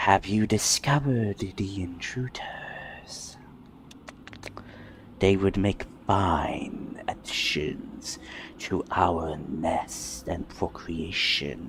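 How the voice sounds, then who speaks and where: A whispering, put-on character voice at a very slow pace. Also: man. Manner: soothing.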